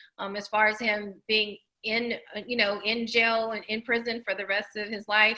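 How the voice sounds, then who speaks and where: A woman speaks with a slight Southern US accent in a bright, sharp tone. Her intonation stays monotone and flat. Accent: slight Southern country. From Tennessee. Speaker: documentary producer. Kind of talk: interview.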